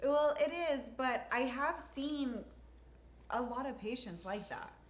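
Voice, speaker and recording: Speaking at a very slow pace, a woman with a high pitch and ordinary pitch variation is heard with audible room echo. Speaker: nurse injector and co-host. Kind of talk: casual chat. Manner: halting.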